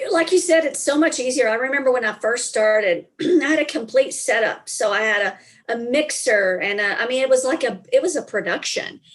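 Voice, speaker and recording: A woman talks in a strong Southern accent at a high pitch. Her intonation is lively. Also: fairly quick pace. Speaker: business consultant and speaker. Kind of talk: casual interview.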